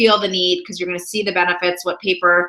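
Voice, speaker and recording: Noticeable background noise fills the recording. Through it, a woman talks at a medium pitch. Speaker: professional organizer. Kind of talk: sales pitch. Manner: fast; animated.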